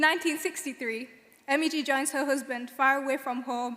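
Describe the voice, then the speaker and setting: A woman with a West Yorkshire accent talks at a very fast pace in a high pitch. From northern England, Bradford. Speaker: graduate student speaker. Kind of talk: graduation speech. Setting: stage with audience in concert hall.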